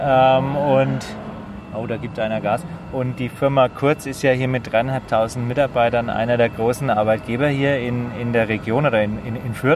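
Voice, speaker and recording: With a medium pitch and fairly even intonation, a man keeps a moderate pace while background noise remains noticeable. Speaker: podcast host. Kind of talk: casual chat. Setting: outdoors on a rooftop terrace.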